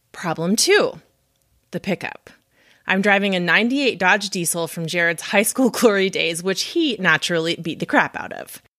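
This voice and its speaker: With an American accent and an ordinary speaking voice, a woman talks at a moderate pace and medium pitch with lively intonation on a very clean recording with a silent background. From Montana, US. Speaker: podcast host. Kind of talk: casual interview chat.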